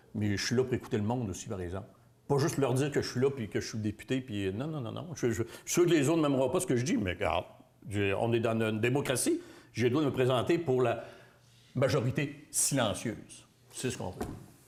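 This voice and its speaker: A man at medium pitch, fairly quick in pace, with ordinary pitch variation. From Quebec, Bas-Saint-Laurent near Rimouski. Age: 60s. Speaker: political candidate. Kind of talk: interview. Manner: halting.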